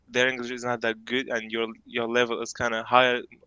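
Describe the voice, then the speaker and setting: A man's bright, sharp voice with flat, monotone delivery. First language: not English. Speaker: university student. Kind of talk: casual video chat with a stranger. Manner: halting.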